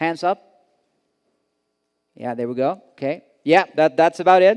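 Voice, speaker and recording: The man's Swedish accent and lively intonation come through a dry, close sound with no echo. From Sweden. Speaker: conference director, event host. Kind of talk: conference opening remarks. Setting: stage with audience. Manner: hesitant, many fillers.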